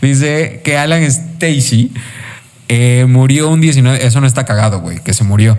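A man with a Mexican accent talks fairly slowly at medium pitch amid noticeable background noise. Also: ordinary pitch variation. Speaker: motorsport podcast host. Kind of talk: casual chat.

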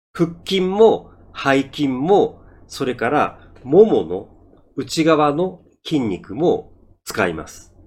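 This man talks very slowly in a fairly high voice with vocal fry, his pitch swinging very widely and his loudness rising and falling sharply. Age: 50s. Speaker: Japanese-learning podcaster and driver. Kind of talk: monologue for Japanese learners. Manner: slow, deliberate speech.

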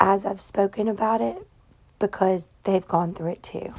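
Over noticeable background noise, a woman talks with a Southern US accent. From Tennessee. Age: 30s. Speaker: podcast host. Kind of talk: casual monologue. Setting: in bed at home.

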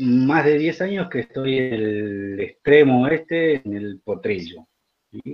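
At a very slow pace, a man of medium pitch speaks with lively intonation and big swings in loudness. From Argentina, central-north Formosa. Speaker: writer and teacher. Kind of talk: literary talk and reading aloud.

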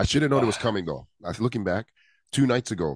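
A man talks very fast with vocal fry. The recording is dry and close with no echo, and the background is quiet. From Hawaii. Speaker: podcast co-host. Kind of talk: casual chat. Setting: video call.

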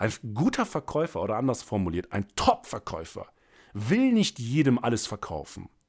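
A man speaks in an animated tone at a moderate pace. The recording is very clean, with a silent background. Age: 30s. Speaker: sales coach and podcast host. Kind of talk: solo podcast monologue.

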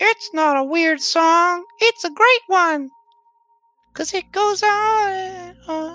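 Squeaky and extremely high, the put-on character voice drags along at a very slow pace. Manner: bad ventriloquism.

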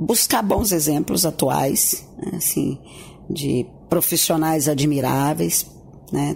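Over noticeable background noise, a woman speaks very slowly at a very deep, low pitch, her loudness very even and her pauses long and frequent. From Tocantins, Brazil (Gurupi). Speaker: journalist turned advertising professional. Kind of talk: radio interview. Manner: halting, with repeated words.

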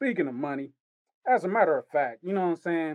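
An animated man's voice comes through with a dry, close sound and no echo. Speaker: wrestler and podcast co-host. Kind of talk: casual banter, animated chat. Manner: animated, slangy.

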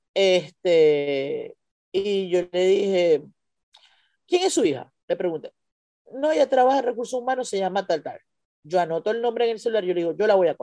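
With long, frequent pauses at a moderate pace, a woman of medium pitch talks in a dark, mellow tone with lively intonation, the sound dry and close with no echo. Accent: Venezuelan. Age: 40s. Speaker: stand-up comedian. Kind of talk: casual chat.

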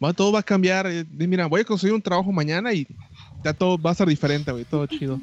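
Talking at a very fast pace, a man with a high-pitched voice is recorded with a dry, close sound and no echo. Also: ordinary pitch variation. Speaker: podcast co-host. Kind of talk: casual chat.

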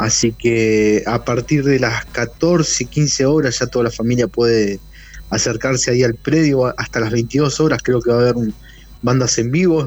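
A man speaks at a fairly slow pace with fairly even intonation and very even loudness. It is a normal speaking voice. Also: medium pitch for a man. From Argentina, Neuquén. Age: 40s. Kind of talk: interview.

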